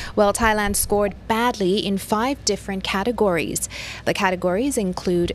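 A woman with an American accent talks at a moderate pace. There is noticeable background noise.

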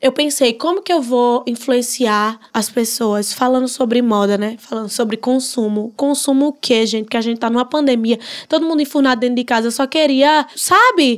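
The speaker has a northeastern Brazilian accent and an animated tone. The pace is moderate, with hardly any pauses and ordinary pitch variation. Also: woman, high pitch for a woman. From Northeast Brazil. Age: 20s. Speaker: social media influencer. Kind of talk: podcast interview.

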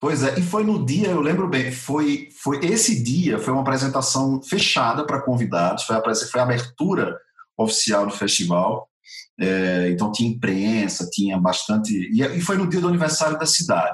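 A man with a medium-pitched voice speaks with very wide pitch swings. His loudness stays very even throughout. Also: moderate pace. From Brazil, Natal (Rio Grande do Norte, Northeast). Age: 40s. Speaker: actor and theatre musician. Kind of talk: interview.

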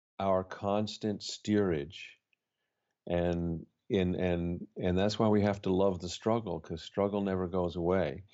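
Speaking at a very slow pace, a man keeps a fairly low pitch and fairly even intonation. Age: 60s. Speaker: poet and spiritual author. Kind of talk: reflective interview conversation. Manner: halting, with frequent fillers.

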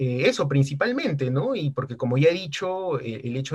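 Somewhat breathy speech from a man. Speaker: lawyer and justice researcher. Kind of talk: casual chat.

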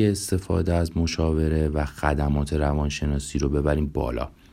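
Speech comes at a fairly slow rate with clearly audible background noise. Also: man. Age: 30s. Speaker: psychologist and podcast host. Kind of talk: self-introduction monologue.

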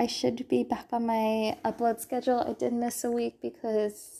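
Against a quiet background, a woman with a high pitch and a dark, mellow tone speaks at a fairly slow pace. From California. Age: 20s. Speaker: podcast host. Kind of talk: casual monologue. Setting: sparse bedroom. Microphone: echoey room audio.

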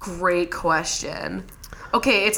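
Against noticeable background noise, a woman speaks at medium pitch with fairly even intonation. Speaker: podcast host. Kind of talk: casual chat.

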